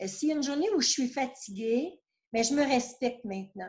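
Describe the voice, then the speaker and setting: A woman speaks in a high-pitched voice. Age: 60s. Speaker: retired therapist. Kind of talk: interview testimony.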